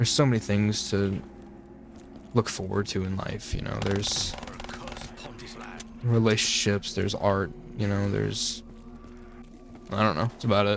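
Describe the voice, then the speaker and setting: Mumbled speech from a man at a moderate pace, fairly low in pitch with fairly even intonation, amid noticeable background noise. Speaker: gaming YouTuber. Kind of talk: casual gameplay commentary. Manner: mumbling; rambling, halting with repeated words.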